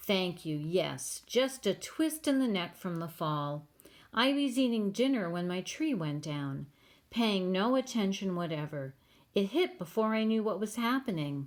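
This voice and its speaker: In a very clean recording with a silent background, a put-on character voice speaks at a moderate pace and middle pitch. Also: female-sounding voice. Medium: read story. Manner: courteous, genteel.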